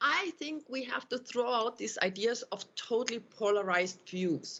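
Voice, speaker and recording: A woman with a German accent speaks at a fairly high pitch with lively intonation. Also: moderate pace. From Austria. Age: 50s. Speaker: university professor. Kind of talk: panel discussion. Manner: halting.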